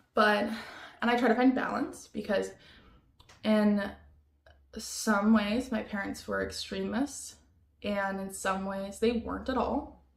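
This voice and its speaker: A woman with an American accent talks at a fairly slow pace, leaving long, frequent pauses. Audible room echo surrounds her voice. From United States, hippie commune. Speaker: vlogger. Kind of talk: casual vlog monologue. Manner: halting, many fillers.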